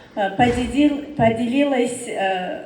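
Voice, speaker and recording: Noticeable background noise and audible room echo surround a woman speaking with a non-native accent. She goes very slowly, her pitch varying in an ordinary way. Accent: non-native Russian. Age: 30s. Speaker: direct sales business leader. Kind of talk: testimony speech. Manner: halting.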